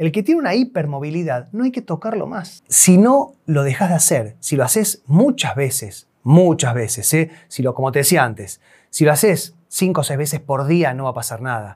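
A man speaks at a moderate pace in a somewhat breathy, fairly high voice, with very wide pitch swings and hardly any pauses. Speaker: chiropractor / spine health professional. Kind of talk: educational explainer video.

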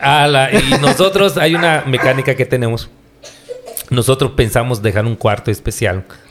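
Lively intonation from a man at a medium pitch, moving at a moderate pace. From Yucatán, Mexico. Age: 40s. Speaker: pastor. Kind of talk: casual interview. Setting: on location, not in the studio.

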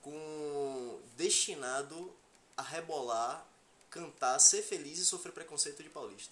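Someone speaks at a very slow pace with a Bahian accent. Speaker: podcast co-host. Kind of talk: casual chat.

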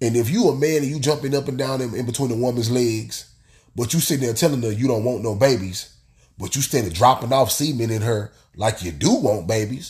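A man's animated, somewhat breathy voice with lively intonation at a fairly quick pace. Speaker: solo podcaster. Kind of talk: casual monologue. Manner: animated, repetitive emphasis.

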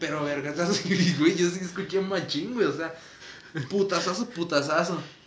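A man with a Mexican accent speaks at a high pitch and a moderate pace, with ordinary pitch variation, amid noticeable background noise and audible room echo. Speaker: podcast host. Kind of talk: casual chat.

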